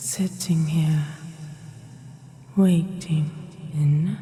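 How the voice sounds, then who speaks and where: A woman puts on a menacing character voice with a British accent and a fairly low pitch. Background noise is clearly heard. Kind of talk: audio roleplay. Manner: slow, menacing.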